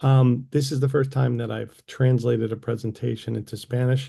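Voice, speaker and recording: Against a quiet background, a man talks at a medium pitch with monotone, flat intonation. His tone is dark and mellow, and somewhat breathy. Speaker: assistive technology consultant. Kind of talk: presentation.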